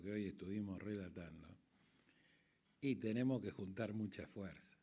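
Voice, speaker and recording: A man speaks at a fairly slow pace with a dark, mellow tone. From Argentina. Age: 60s. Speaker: conference moderator. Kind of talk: closing speech.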